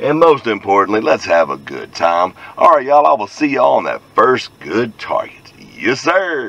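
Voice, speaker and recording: A man keeps a moderate pace, the sound dry with no echo. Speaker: hobby metal detecting vlogger. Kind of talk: casual vlog chat. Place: car. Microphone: phone near.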